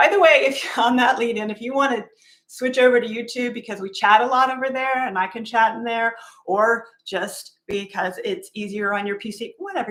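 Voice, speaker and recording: An ordinary speaking voice from a woman, fairly high in pitch with ordinary pitch variation, at a moderate pace, with big swings in loudness. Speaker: livestream coworking host. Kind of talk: casual livestream chat. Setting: livestream.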